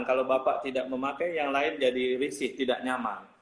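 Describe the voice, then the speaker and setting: Noticeable background noise fills the recording. Through it, a man speaks fairly quickly. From Bali, Indonesia. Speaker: hotel general manager. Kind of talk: interview.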